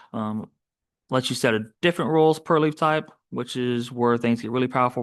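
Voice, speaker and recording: Against a quiet background, a man talks very fast at a medium pitch with fairly even intonation. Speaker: software trainer. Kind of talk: webinar tutorial. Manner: halting, many fillers.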